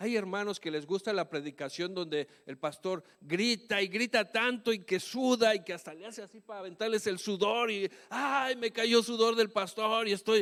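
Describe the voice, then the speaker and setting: A high-pitched man talks at a moderate pace with hardly any pauses, ordinary pitch variation, and big swings in loudness. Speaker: pastor. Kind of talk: sermon. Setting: church. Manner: shouts at times.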